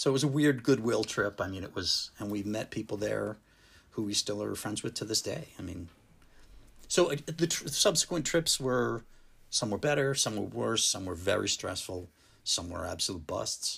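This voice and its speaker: A man with an American accent speaks at a moderate pace and a fairly low pitch, with vocal fry and lively intonation. The recording is very clean, with a silent background. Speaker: drummer. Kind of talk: casual chat. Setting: in person at host's home.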